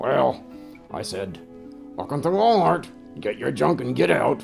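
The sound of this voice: A man puts on a gruff character voice at a moderate pace. Clear music plays in the background.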